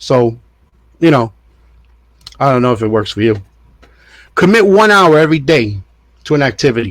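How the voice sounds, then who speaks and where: Speaking in a New York accent at a fairly quick pace, a man uses a medium pitch with very wide pitch swings and long, frequent pauses. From New York, Puerto Rican family. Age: 50s. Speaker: diet and fitness vlogger. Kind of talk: casual monologue. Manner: casual, repetitive stammering.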